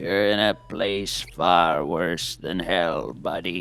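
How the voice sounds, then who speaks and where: In a put-on character voice, a man speaks very slowly at a very deep, low pitch with fairly even intonation. Light background noise sits behind him. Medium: comedy sketch. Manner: theatrical, portentous, with sudden deadpan jokes.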